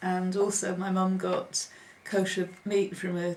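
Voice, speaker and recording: A woman speaks at a medium pitch. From northern England, Preston, Lancashire. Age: 50s. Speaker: oral history interviewee. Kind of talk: oral history interview. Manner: hesitant, with frequent ums.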